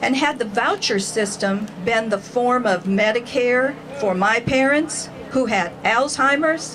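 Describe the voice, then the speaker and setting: The pace is fairly slow, with ordinary pitch variation and very even loudness. Noticeable background noise sits behind it. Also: woman, fairly high pitch for a woman. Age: 60s. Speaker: rally speaker, cancer survivor. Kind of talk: rally speech.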